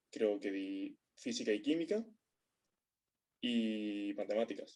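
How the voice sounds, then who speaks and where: This man's voice sits fairly low, with a dark, mellow tone and fairly even intonation. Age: 20s. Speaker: physics student. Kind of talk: interview. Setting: remote recording.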